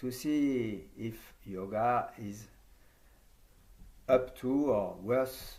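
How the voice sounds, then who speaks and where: A man speaks in a French accent at medium pitch. His pitch variation is ordinary, and room echo is audible. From France. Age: 70s. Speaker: yoga teacher trainer. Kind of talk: conference talk.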